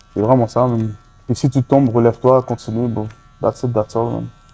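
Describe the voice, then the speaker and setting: Over music in the background, a man with medium pitch speaks at a moderate pace in a monotone, flat intonation. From Montreal, Saint-Michel. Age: 20s. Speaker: rapper. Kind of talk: interview. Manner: casual, halting.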